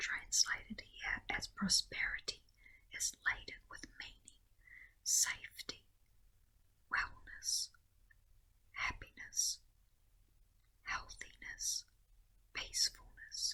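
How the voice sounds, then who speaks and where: Whispering and soft-spoken, a woman talks at a very slow pace with long, frequent pauses and big swings in loudness. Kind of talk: devotional commentary. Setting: home recording with garden nature sounds. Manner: whispered, soft-spoken.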